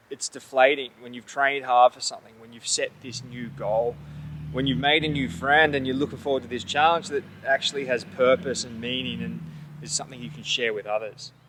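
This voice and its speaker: A man with an Australian accent talks at a fairly quick pace and a medium pitch. His loudness swings widely and his pitch varies in an ordinary way, with noticeable background noise behind him. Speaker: endurance athlete. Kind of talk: vlog to camera. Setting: outdoors.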